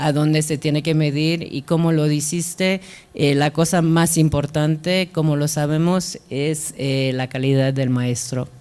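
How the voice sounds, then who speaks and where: Her voice is very deep and low, with a dark, mellow tone. The woman speaks at a fairly slow pace with fairly even intonation. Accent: non-native. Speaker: international development officer. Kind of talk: panel discussion. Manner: halting.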